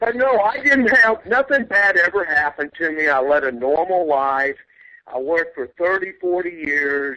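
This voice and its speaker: A man with a Texan accent, high-pitched and bright, sharp in tone, at a moderate pace with very wide pitch swings. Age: 60s. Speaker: UFO investigator. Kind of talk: interview.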